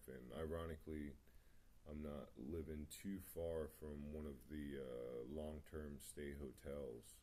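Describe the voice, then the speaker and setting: A man mumbling at a very deep, low pitch, in a dark, mellow tone with monotone, flat intonation and audible room echo. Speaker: vlogger sharing personal story. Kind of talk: personal testimony monologue. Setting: home meditation spot, video recording. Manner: halting, many fillers.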